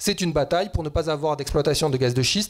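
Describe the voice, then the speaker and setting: A man speaks with lively intonation. His pitch sits fairly high. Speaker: economist and climate activist. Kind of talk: panel debate talk. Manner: fast.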